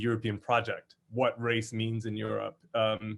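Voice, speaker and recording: A man speaks at a medium pitch. He has an American accent. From United States. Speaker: legal academic, panelist. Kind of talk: academic panel talk. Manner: hesitant, many fillers.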